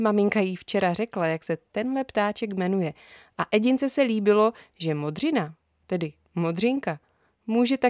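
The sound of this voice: Lively intonation fills an unforced reading voice over a quiet background.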